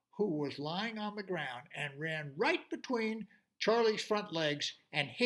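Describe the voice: With little behind it, the recording captures plain reading aloud.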